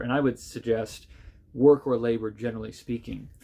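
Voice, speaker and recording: Speaking in an American accent, a man keeps his medium-pitched voice at fairly even intonation. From United States. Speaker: pastor, book reviewer. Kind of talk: book review monologue. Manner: casual, with many filler words.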